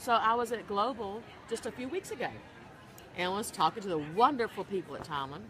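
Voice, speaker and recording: Noticeable background noise sits behind a woman speaking with a Southern US accent. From US South. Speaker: pet blogger. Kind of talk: live interview.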